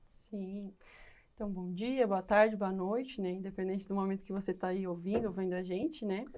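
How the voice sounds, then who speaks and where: A woman's medium-pitched, dark, mellow voice at a moderate pace with fairly even intonation. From southern Brazil, Rio Grande do Sul (Lajeado). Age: 20s. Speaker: educational psychologist. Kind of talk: podcast interview.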